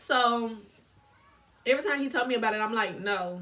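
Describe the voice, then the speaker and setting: A woman's fairly high-pitched, animated voice with ordinary pitch variation. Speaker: lifestyle vlogger. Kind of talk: casual vlog monologue. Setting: filming at home on camera.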